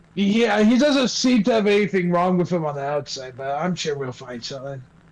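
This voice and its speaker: Using a put-on character voice, a man speaks at a high pitch. His pace is fairly quick. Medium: actual play. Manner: halting, stammering.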